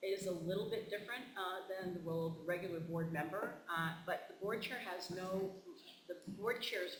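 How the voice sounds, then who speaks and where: A high-pitched male voice with fairly even intonation, audible room echo and noticeable background noise. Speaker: board trainer, former superintendent. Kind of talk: training presentation. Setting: school board meeting. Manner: fast; halting, many fillers.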